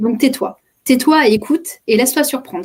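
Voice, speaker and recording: A woman does the talking. There is a somewhat breathy quality to her voice. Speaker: communication coach and trainer. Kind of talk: interview, personal story. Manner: fast; hesitant, many repetitions.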